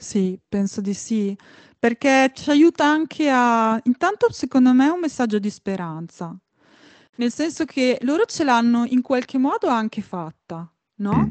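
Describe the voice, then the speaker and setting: A woman with a high pitch and lively intonation speaks at a fairly slow pace, recorded dry and close with no echo against a quiet background. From Emilia, near Bologna. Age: 40s. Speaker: violinist and composer. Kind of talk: interview. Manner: halting.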